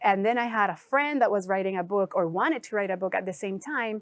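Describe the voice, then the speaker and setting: The woman's pitch sits in the middle range and varies an ordinary amount. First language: not English. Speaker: life coach and author. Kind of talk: interview.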